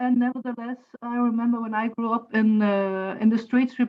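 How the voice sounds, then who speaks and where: Delivered at a fairly quick pace, the speech has monotone, flat intonation. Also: woman. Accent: German. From Germany, Saarland. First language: German (Saarlandish dialect). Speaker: university lecturer and translator. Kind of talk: online class discussion.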